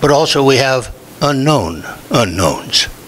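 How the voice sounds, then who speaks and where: Male speech of medium pitch with noticeable background noise. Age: 80s+. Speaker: former state legislator, public commenter. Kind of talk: public comment at city meeting. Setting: city commission meeting.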